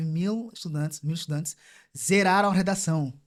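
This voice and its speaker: A man talks at a moderate pace in a high voice with lively intonation. The recording is very clean, with a silent background. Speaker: immigrant guest. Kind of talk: casual chat.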